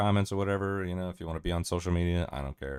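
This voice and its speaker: In an American accent, the speaker talks at a very fast pace on a very clean recording with a silent background. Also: man. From US, Miami. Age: 40s. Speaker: streamer. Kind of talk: livestream commentary. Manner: animated.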